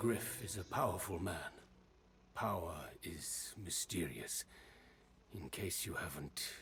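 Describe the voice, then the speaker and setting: Using a put-on character voice, a man talks very deep and low at a fairly slow pace, with long, frequent pauses over clear background noise. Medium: video game. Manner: broken-English speech, present-tense phrasing.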